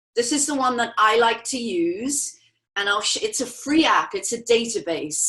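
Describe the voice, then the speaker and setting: An English accent marks this woman's fairly high, bright, sharp voice, delivered at a moderate pace with lively intonation. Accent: English, stronger lately. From England. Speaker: natural beauty products representative. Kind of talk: interview.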